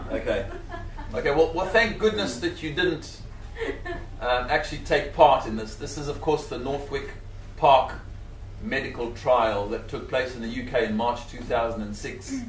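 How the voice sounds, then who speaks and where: A man with a Zimbabwean accent speaks with long, frequent pauses and big swings in loudness. Audible room echo and noticeable background noise surround him. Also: moderate pace. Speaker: scientist and animal rights speaker. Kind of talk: public talk.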